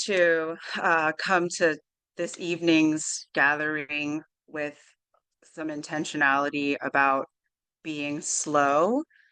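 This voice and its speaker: Against a quiet background, the voice has a bright, sharp tone and a very slow pace. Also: woman, very deep, low pitch for a woman, ordinary pitch variation. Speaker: consultant hosting webinar office hours. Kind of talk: webinar presentation. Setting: video call webinar. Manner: deliberately slow.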